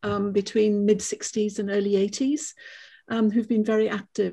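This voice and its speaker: Over a quiet background, a woman speaks in a somewhat breathy, fairly high voice with a dark, mellow tone. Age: 70s. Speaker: climate activist and former lecturer. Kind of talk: self-introduction in group conversation.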